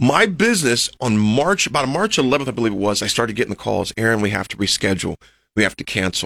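A man with an American accent, medium-pitched with a bright, sharp tone, animated and lively in intonation, at a very fast pace on a very clean recording with a silent background. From Nebraska, US (Lincoln). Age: 40s. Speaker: motivational speaker, former college football player. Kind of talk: interview storytelling. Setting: radio studio.

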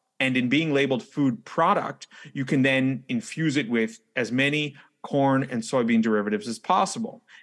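Heard here is a plain, everyday voice with an American accent, a moderate pace and ordinary pitch variation. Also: man, medium pitch for a man. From New York City. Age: 30s. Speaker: wellness coach and food rescue founder. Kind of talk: interview.

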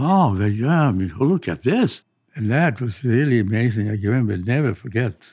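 Man with a slight Swedish accent, medium pitch, lively intonation and moderate pace over a quiet background. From Sweden. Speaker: retired pathologist and adventurer. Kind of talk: interview recollection.

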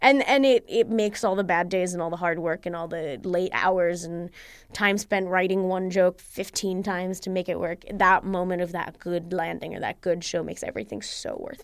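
A woman with an American accent speaks at a moderate pace in a medium pitch, her intonation fairly even and her delivery with hardly any pauses. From Egypt and the US. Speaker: stand-up comedian and data scientist. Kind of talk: casual interview.

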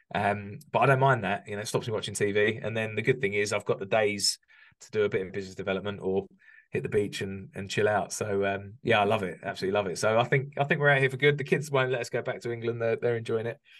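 Against a quiet background, a man with an English accent talks at a very fast pace, fairly low in pitch, with ordinary pitch variation. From UK. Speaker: construction business coach. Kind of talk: interview conversation.

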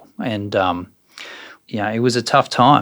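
This man speaks with an Australian accent. His medium-pitched voice has fairly even intonation. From Australia, Brisbane. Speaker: property developer and precinct CEO. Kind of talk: interview.

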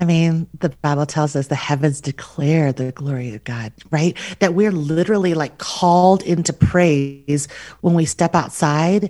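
A woman's very deep, low voice with a dark, mellow tone, an American accent, ordinary pitch variation and a fairly slow pace. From US Southwest, Albuquerque, New Mexico. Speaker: author and podcaster. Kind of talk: casual interview.

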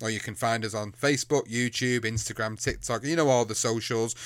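A man with an English accent speaks with fairly even intonation on a very clean recording with a silent background. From England. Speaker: podcast host. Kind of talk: casual chat.

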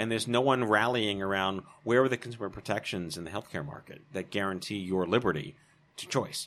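A man with a normal speaking voice and an American accent, fairly low pitch and ordinary pitch variation, fairly quick pace and big swings in loudness. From New York. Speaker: cancer survivor and patient advocate. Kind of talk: casual interview.

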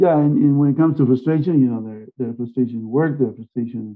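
With a Spanish accent, a man speaks using ordinary pitch variation. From Argentina. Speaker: marine biologist. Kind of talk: interview.

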